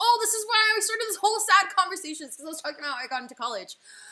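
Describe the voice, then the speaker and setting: A woman speaks in a raised, projected voice with a bright, sharp tone and very wide pitch swings. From USSR, raised in California. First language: Russian. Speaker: illustrator and animator, live streamer. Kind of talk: casual chat while drawing on livestream. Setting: home livestream. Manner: casual, filler-heavy (like, um).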